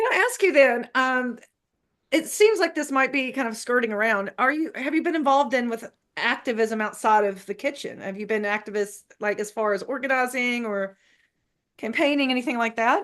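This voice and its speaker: Lively intonation in a Southern US accent. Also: woman, high pitch for a woman, moderate pace. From US South. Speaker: academic interviewer. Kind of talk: interview conversation.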